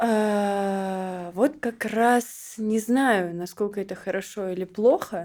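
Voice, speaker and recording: On a very clean recording with a silent background, a woman speaks very slowly at a medium pitch with ordinary pitch variation. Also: hardly any pauses. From Siberia, Russia (Barnaul). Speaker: model and modeling agency founder. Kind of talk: casual chat.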